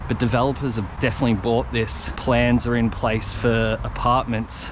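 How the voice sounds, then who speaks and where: Over noticeable background noise, a man speaks with hardly any pauses, very even loudness and ordinary pitch variation, in a dry sound with no echo. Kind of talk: casual vlog commentary. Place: garden. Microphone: camera far.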